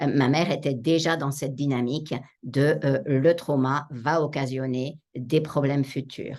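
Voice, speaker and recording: A woman speaks at a fairly slow pace in a very deep, low pitch. Her intonation is flat and monotone. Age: 60s. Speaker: psychotherapist and author. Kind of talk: interview.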